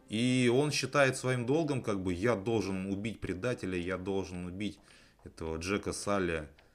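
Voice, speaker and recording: On a very clean recording with a silent background, a man with an unremarkable speaking voice and a fairly low pitch talks at a moderate pace with lively intonation. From Russia, outside the capital. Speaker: film podcast host. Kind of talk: casual chat.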